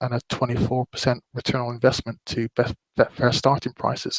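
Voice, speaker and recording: With a West Country accent, a man speaks at a moderate pace. The sound is dry and close, with no echo. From West Country, England. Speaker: horse racing betting analyst. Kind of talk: webinar presentation. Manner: hesitant, many fillers.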